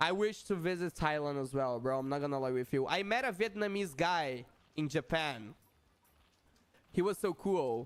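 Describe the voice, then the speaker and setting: Speaking in a Portuguese accent, a man uses a fairly high pitch. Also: lively intonation, moderate pace. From Brazil. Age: 20s. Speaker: gaming streamer. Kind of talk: live gaming stream chat. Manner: halting, frequent self-corrections; casual, repeats 'bro'.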